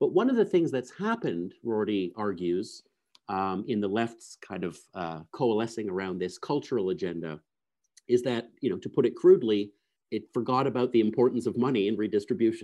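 With a Canadian accent, a man talks at a fairly quick pace and medium pitch in an unremarkable speaking voice. His intonation is lively, and the background is quiet. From Canada, Toronto. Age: 40s. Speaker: philosophy professor. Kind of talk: interview conversation. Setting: remote call.

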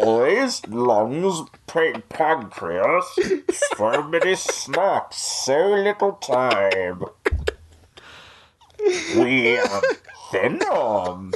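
A put-on character voice at middle pitch, menacing yet playful, very slow, with long, frequent pauses. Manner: menacing, playful.

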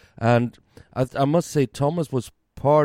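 A man's dark, mellow voice with a Swedish accent, ordinary pitch variation and a dry, close sound with no echo. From Sweden. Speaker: beer podcaster and restaurant worker. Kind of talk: casual chat. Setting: at home.

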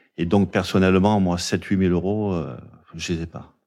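Very deep, low male voice with fairly even intonation, in a very clean recording with a silent background. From Marseille area, southern France. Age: 50s. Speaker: cold-water open-water swimmer. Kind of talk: interview. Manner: halting.

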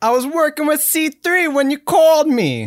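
A put-on character voice with a New York accent, high in pitch, at a moderate pace.

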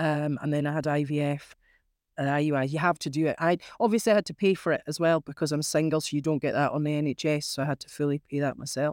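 A woman with a northern Scottish accent and a very deep, low pitch speaks at a fairly quick pace in a very clean recording with a silent background. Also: dry, close sound with no echo. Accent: northern Scottish (Caithness). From Scotland, Caithness. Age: 40s. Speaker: crofter. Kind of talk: interview.

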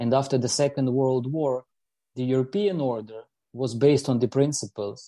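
With a Ukrainian accent and a dark, mellow tone, a man speaks at a medium pitch in a dry, close sound with no echo and a quiet background. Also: ordinary pitch variation, moderate pace. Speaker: politician. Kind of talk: panel discussion. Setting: video call.

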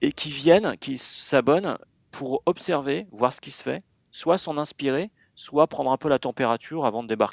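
In a plain, everyday voice, a man with a fairly high pitch speaks at a moderate pace with ordinary pitch variation and a dry, close sound with no echo. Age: 40s. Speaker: magazine editor-in-chief. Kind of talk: interview.

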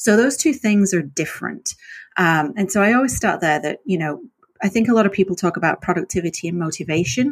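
With lively intonation and a medium pitch, a woman is heard in a very clean recording with a silent background. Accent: northern English. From northern England. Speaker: author. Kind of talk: casual interview chat.

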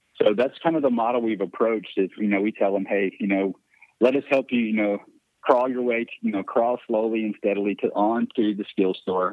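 With an American accent, a man of medium pitch uses fairly even intonation in an unremarkable speaking voice. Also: fairly quick pace. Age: 40s. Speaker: voice app developer and business owner. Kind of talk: casual interview.

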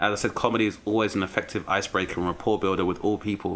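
Speaking at a very fast pace, a man with a London accent has a fairly low pitch. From South East London. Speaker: comedian. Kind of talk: casual chat.

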